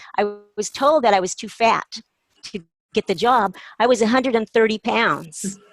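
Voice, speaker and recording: A woman with a fairly high pitch speaks with long, frequent pauses as music plays in the background. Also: ordinary pitch variation, moderate pace, dry, close sound with no echo. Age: 60s. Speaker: retired lawyer, call participant. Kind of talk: casual chat.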